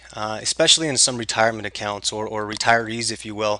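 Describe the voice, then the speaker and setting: A man delivers his words fairly quickly while noticeable background noise carries on. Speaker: tax sale investment trainer. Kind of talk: webinar tutorial. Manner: fast; hesitant, many fillers.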